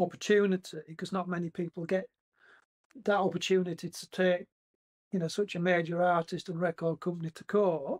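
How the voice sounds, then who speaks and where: This man's voice sits high in pitch, moving at a moderate pace with big swings in loudness, recorded dry and close with no echo. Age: 60s. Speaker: former band drummer. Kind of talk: interview. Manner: hesitant, many fillers.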